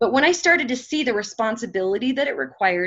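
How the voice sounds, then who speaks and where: A loud woman's voice at a very fast pace, with very wide pitch swings. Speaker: motivational speaker. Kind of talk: motivational talk.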